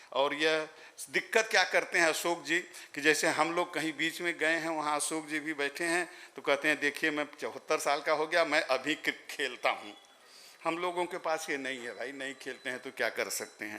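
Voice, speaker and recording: At a moderate pace, a man speaks in a fairly high pitch with a bright, sharp tone and fairly even intonation. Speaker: ceremony guest speaker. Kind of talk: ceremonial speech. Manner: formal.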